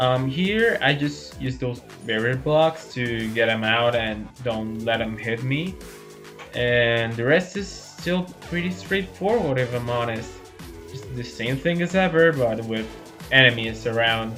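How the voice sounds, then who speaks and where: A man speaks at a fairly slow pace with lively intonation and a medium pitch, music playing in the background. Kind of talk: gameplay commentary. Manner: casual, relaxed.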